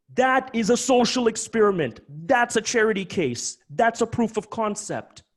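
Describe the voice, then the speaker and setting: The man's tone is animated and intense. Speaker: crypto company founder presenting webinar. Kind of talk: webinar presentation. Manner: intense, emphatic.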